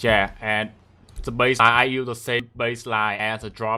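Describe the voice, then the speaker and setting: A man speaks with a Vietnamese accent and a bright, sharp tone. The recording is very clean, with a silent background. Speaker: music producer. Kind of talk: tutorial. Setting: livestream.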